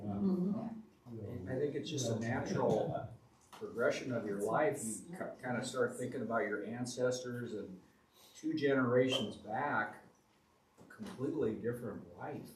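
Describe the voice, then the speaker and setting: A soft-spoken man at medium pitch, fairly slow, with lively intonation and audible room echo. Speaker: family history presenter. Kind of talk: community talk.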